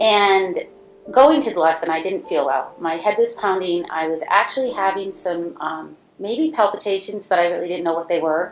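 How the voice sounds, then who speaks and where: Lively intonation marks this woman's plain, everyday voice. She speaks at a moderate pace and medium pitch. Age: 60s. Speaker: stroke survivor. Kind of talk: personal testimony.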